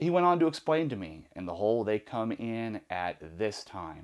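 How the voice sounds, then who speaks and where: A man talks in a very clean recording where the background is silent. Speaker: former prisoner telling stories. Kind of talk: storytelling monologue. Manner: fast.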